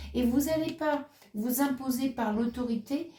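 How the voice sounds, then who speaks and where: In a dark, mellow tone, a woman speaks very slowly at a high pitch with ordinary pitch variation. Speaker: tarot reader. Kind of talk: tarot reading monologue. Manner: halting, many hesitations.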